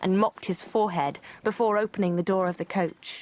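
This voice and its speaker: In an unremarkable speaking voice, a woman talks at a moderate pace with a medium pitch. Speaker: audiobook narrator. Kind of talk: audiobook narration.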